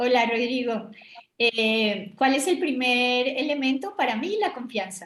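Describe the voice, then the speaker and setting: This voice belongs to a woman. The pitch is high. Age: 60s. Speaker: business executive. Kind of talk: interview.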